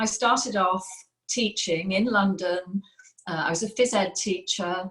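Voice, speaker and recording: A woman speaks with an English accent at a fairly slow pace. Her pitch is medium, with ordinary variation. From England. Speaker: former teacher, sales distributor. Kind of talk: personal testimony.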